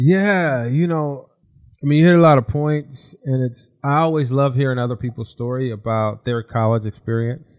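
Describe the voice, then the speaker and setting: A man with an American accent in a normal speaking voice, medium pitch, ordinary pitch variation and a moderate pace. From Southern California. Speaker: former college basketball player, basketball executive. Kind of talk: casual interview.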